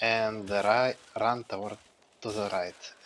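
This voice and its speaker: Using a bright, sharp tone, a man with a Russian accent talks at a fairly low pitch and a very slow pace. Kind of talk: speedrun commentary. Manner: casual, hesitant.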